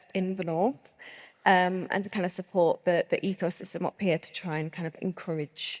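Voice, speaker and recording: A woman talks at a fairly quick clip with a Lancashire accent and fairly even intonation. The sound is dry and close, with no echo. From northern England, Lancaster. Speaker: brand co-founder. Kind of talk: panel discussion.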